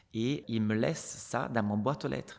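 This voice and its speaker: With an Italian accent, a man talks at a fairly slow pace and a medium pitch, with ordinary pitch variation. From Italy, Venice. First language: Italian (speaking French). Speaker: retired ballet dancer. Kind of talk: interview.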